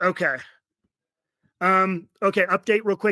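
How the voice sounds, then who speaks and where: The man's voice has a bright, sharp tone. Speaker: real estate investment fund manager. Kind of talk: webinar presentation. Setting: video webinar from a rented basement room. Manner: fast.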